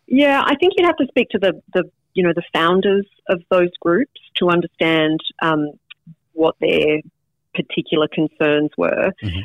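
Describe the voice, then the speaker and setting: A woman with an Australian accent speaks at a moderate pace with very even loudness. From Australia (Canberra in teens). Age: 40s. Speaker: political candidate, former lawyer. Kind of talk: interview.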